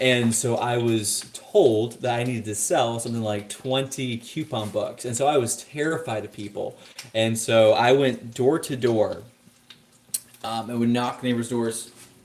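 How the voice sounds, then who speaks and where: Speaking at a fairly slow pace with fairly even intonation, a man with an American accent and a medium pitch is heard over noticeable background noise. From Texas and Virginia, US. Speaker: cigar vlogger. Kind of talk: casual chat. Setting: live stream while cooking. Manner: hesitant, many fillers.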